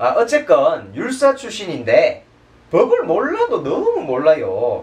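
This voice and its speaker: A man speaks with a Daegu accent. Noticeable background noise is present. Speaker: political commentator panelist. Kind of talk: panel discussion commentary.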